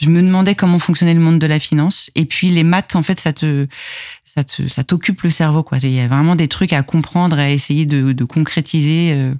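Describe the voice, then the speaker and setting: A woman with a very deep, low pitch and a dark, mellow tone speaks at a moderate pace with fairly even intonation. Her loudness stays very even, and the sound is dry and close with no echo. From Paris region, France (Val d'Oise / Yvelines). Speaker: IT production manager. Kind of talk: interview conversation. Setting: studio.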